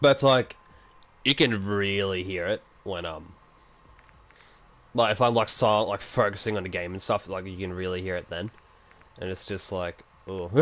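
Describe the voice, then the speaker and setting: A man with an Australian accent talks at a moderate pace and a fairly low pitch. His loudness swings widely, and he leaves long, frequent pauses. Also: ordinary pitch variation. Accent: Australian, average strength. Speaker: gaming streamer. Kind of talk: casual chat while livestreaming a game. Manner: casual, filler-heavy.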